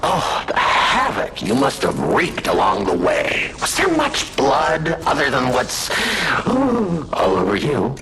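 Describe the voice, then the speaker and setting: A cartoonish character voice comes at a fairly slow pace. Clear background noise runs beneath it. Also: man. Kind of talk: villainous showman. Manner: theatrical, giggling, sing-song.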